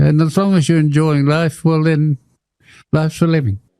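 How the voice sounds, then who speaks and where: Talking at a moderate pace, a man with an Australian accent has a fairly high pitch and a dark, mellow tone. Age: 80s+. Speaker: tennis player and war veteran. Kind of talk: TV interview. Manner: halting.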